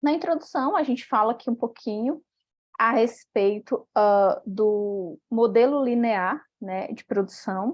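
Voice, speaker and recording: A woman with a fairly high voice and ordinary pitch variation talks at a very slow pace. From Brazil, Piauí. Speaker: doctoral student, paper presenter. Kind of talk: academic presentation. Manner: hesitant, many fillers.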